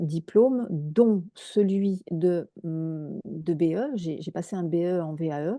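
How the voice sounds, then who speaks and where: A woman speaks in a fairly low, dark and mellow voice with ordinary pitch variation, and the sound is dry and close with no echo. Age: 60s. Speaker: equine therapist. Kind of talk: interview. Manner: hesitant, many fillers.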